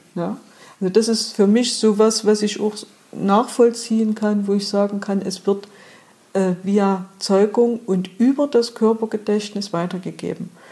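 At medium pitch, a woman speaks fairly slowly in a somewhat breathy voice with a dark, mellow tone and monotone, flat intonation. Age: 50s. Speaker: trauma therapist. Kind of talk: interview.

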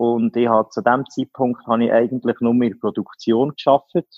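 The man speaks in a normal speaking voice at a medium pitch. He keeps a moderate pace. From Switzerland, canton Solothurn. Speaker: business owner. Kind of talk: interview. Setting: phone call.

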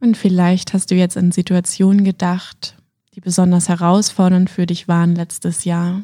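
Calm and soothing, a woman speaks in a dark, mellow, somewhat breathy tone at medium pitch with monotone, flat intonation. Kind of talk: guided meditation. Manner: slow, calm, soothing, with long pauses; gentle, warm, intimate.

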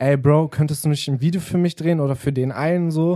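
Speaking at a moderate pace, a man has a fairly high pitch, a dark, mellow tone and ordinary pitch variation. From Germany, Wolfsburg. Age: 20s. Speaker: rapper and music video producer. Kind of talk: casual chat. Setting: radio studio.

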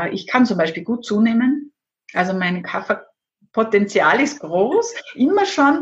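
Her pitch swinging very widely, a woman with a fairly high voice speaks at a fairly slow pace. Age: 50s. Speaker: Ayurveda expert and former pharmacist. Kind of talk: interview.

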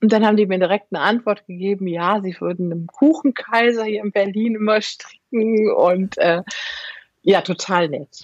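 A woman with an unremarkable speaking voice talks at a moderate pace and medium pitch, with ordinary pitch variation against a quiet background. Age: 50s. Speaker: knitwear designer. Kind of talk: casual chat.

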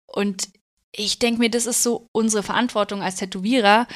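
Here is a woman with a plain, everyday voice, speaking at a moderate pace with fairly even intonation. The recording is very clean and the background silent. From Bavaria, Germany. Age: 30s. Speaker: tattoo artist. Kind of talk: casual interview chat.

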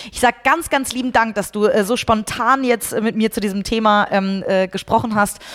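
The intonation stays fairly even. Noticeable background noise can be heard. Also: woman, fairly high pitch for a woman, moderate pace, hardly any pauses. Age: 30s. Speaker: podcast host and company CEO. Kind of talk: interview.

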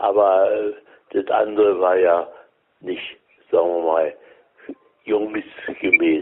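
Long pauses come often as a man talks very slowly. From Berlin. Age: 90s. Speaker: elderly witness of wartime Berlin. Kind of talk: interview, telling memories. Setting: phone call. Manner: halting.

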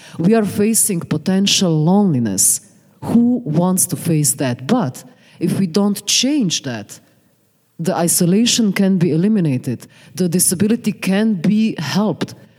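A woman speaks at a fairly slow pace in an unremarkable speaking voice. Her medium pitch carries lively intonation. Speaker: sociologist. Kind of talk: panel discussion. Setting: stage with audience.

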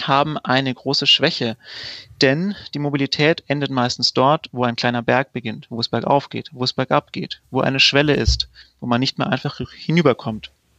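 Against a quiet background, a man speaks at a fairly quick pace and medium pitch with a bright, sharp tone, ordinary pitch variation and a dry, close sound with no echo. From Allgäu, southern Germany. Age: 30s. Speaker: startup founder. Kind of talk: sales pitch.

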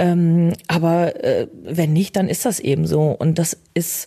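A woman's fairly low, somewhat breathy voice carries a dark, mellow tone. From Germany, Bielefeld. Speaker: social media user. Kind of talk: interview. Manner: straight but emotional.

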